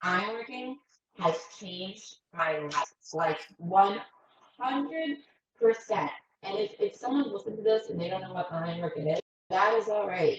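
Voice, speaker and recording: A woman speaks in an animated tone at a moderate pace, with ordinary pitch variation. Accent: American. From Brooklyn, New York. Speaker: structural ironworker. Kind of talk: casual chat.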